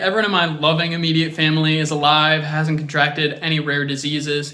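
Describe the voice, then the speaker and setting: An American accent amid noticeable background noise and audible room echo. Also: man. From US South, Atlanta, Georgia. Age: 30s. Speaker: reality show applicant. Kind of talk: audition video monologue. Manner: animated.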